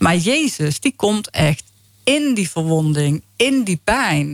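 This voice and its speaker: A woman talks very slowly with a Brabant accent, her pitch swinging very widely. The sound is dry and close, with no echo. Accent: Brabant Dutch. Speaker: faith healing ministry founder. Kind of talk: testimony. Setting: radio studio.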